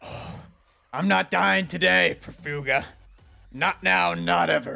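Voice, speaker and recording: This man uses a put-on character voice that sounds raspy, sitting at a medium pitch. He talks very slowly, his pitch swinging very widely. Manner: through gritted teeth, defiant.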